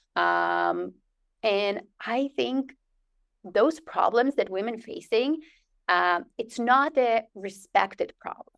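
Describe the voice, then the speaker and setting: A woman speaks with a non-native accent. The background is quiet. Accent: foreign. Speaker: physician, urogynecologist. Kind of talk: interview.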